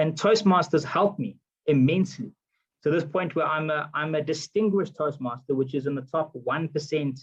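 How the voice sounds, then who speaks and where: His voice somewhat breathy, a man moves at a fairly quick pace while his pitch varies in an ordinary way. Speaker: politician. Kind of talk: motivational talk. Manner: frequent fillers and repetitions.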